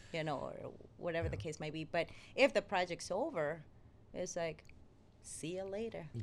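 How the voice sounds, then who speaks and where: Speaking at a moderate pace with long, frequent pauses, a woman with a fairly low pitch uses lively intonation and vocal fry. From Venezuela. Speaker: actress. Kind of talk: casual interview.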